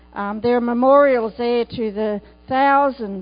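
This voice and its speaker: Music plays in the background as a woman talks with an Australian accent. Her pace is moderate and her intonation fairly even. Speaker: itinerant preacher. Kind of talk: sermon. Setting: church.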